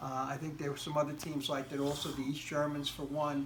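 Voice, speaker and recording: With music in the background and audible room echo, a man speaks with an American accent at a fairly high pitch. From United States. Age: 60s. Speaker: interviewee. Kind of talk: interview. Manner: halting.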